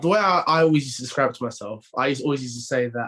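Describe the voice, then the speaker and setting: Speaking very fast with a London accent, a man uses a fairly high pitch and ordinary pitch variation. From North London, England. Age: 20s. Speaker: professional rugby player. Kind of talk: podcast interview. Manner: halting, many repeated words and fillers.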